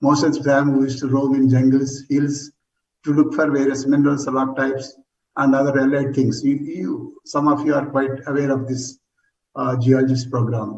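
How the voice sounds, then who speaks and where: The speaker talks at a moderate pace in a monotone, flat intonation, sounding somewhat breathy. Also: man, fairly high pitch for a man. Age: 70s. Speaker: retired geologist, transplant recipient. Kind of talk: testimony.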